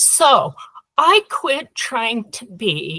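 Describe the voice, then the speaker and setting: A woman with a Utah accent and a bright, sharp tone in a dry, close sound with no echo. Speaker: workshop participant. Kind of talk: group discussion.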